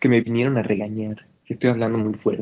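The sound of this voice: A man speaks at a fairly quick pace with a fairly low pitch. His voice has little pitch movement.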